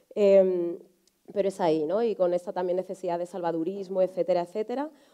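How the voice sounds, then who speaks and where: A woman's dark, mellow voice at a fairly quick pace, with ordinary pitch variation over a quiet background. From Spain, Alcorcón (south of Madrid); Spain. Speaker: journalist and writer; journalist. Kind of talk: panel discussion. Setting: conference hall with audience. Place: stage.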